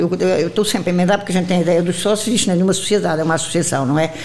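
A woman speaks at a fairly low pitch with ordinary pitch variation. Audible room echo and noticeable background noise surround her voice. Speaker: retired teacher, association president. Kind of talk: interview. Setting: association headquarters.

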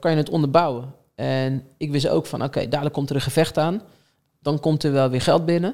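With a plain, everyday voice, a man talks at a fairly quick pace in a fairly high pitch with ordinary pitch variation. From Netherlands, Rotterdam. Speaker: talent manager. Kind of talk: podcast interview.

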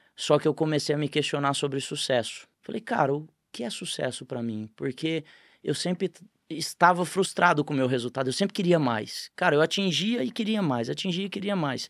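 An unremarkable speaking voice moves at a moderate pace with lively intonation, recorded very cleanly against a silent background with a dry, close sound and no echo. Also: man, fairly high pitch for a man. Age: 40s. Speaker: franchise company CEO. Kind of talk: casual interview chat.

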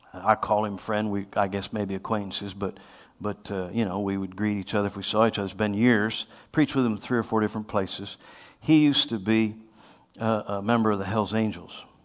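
A man with a plain, everyday voice talks at a fairly quick pace with a fairly low pitch and fairly even intonation. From US Northeast. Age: 50s. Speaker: preacher. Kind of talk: sermon.

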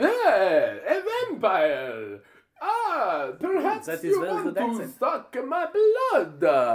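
Very slow delivery in a put-on character voice. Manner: seductive.

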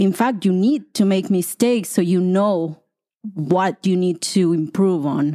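A woman's dark, mellow voice in a Mexican accent, very even in loudness with ordinary pitch variation, on a very clean recording with a silent background. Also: medium pitch for a woman, fairly slow pace. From Colima, Mexico. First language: Spanish. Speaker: Spanish teacher. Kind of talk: interview.

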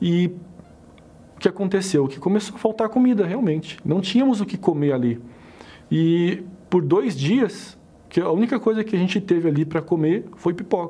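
A man talks at a moderate pace in a high pitch with lively intonation. He leaves long, frequent pauses. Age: 30s. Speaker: businessman giving testimony. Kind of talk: testimony.

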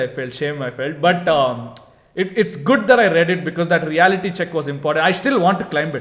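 Speaking at a fairly quick pace with ordinary pitch variation, a man talks with an Indian accent. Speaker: podcast co-host. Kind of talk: casual chat. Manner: loud.

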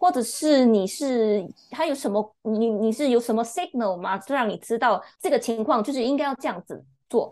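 Against a quiet background, a woman speaks at a moderate pace with a fairly high pitch and lively intonation. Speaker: book club member. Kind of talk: casual chat. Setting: remote call. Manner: sharp.

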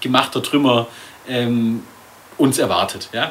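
Noticeable background noise sits behind the recording. Over it, a man talks fairly slowly. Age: 20s. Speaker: podcast co-host, filmmaker. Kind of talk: casual chat. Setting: studio.

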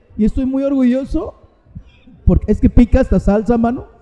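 This man speaks at an extremely high pitch with fairly even intonation, in a dry, close sound with no echo over noticeable background noise. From Mexico City (Azcapotzalco). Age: 50s. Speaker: rock singer. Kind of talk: casual interview. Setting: live event venue.

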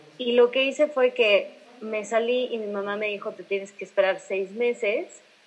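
Moderately paced, a woman's voice carries a fairly high pitch. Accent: central Mexican. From Mexico, Irapuato. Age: 20s. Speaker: singer. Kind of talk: casual interview.

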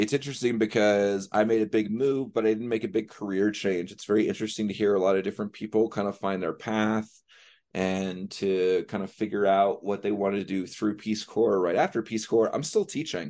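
Against a quiet background, a man speaks fairly quickly at a fairly low pitch with fairly even intonation, in a normal speaking voice. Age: 40s. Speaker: former volunteer and teacher. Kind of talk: casual chat.

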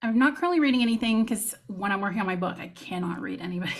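Speaking at a very fast pace, a woman with an American accent uses ordinary pitch variation. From Texas. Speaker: fantasy romance author. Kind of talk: casual interview chat. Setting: video call.

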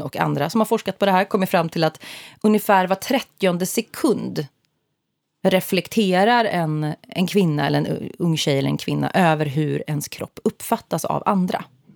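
A woman's plain, everyday voice at a fairly low pitch, with ordinary pitch variation and a fairly slow pace, in a dry, close sound with no echo and a very clean recording on a silent background. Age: 30s. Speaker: podcast co-host. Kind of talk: casual chat.

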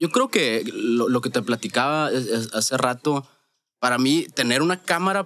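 Against a quiet background, a man speaks at medium pitch and a moderate pace with ordinary pitch variation. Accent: Sonoran. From Mexico, Sonora (Hermosillo). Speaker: wedding photographer. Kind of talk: casual chat.

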